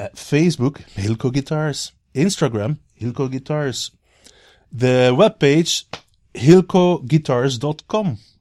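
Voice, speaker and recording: This man's voice has a dark, mellow tone and a fairly high pitch, delivered at a very slow pace. The sound is dry and close with no echo, on a very clean recording with a silent background. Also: ordinary pitch variation. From Belgium. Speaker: guitar builder and touring musician. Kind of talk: casual interview chat. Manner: halting.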